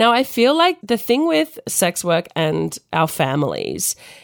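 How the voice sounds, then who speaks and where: A woman is speaking. She has an Australian accent. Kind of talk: casual chat.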